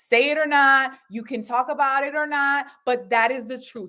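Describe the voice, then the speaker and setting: With a raised, projected voice, a woman speaks at a high pitch in an animated, bright, sharp tone. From Puerto Rican background. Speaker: married guest, mother and wife. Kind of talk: talk show interview. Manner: animated, emphatic.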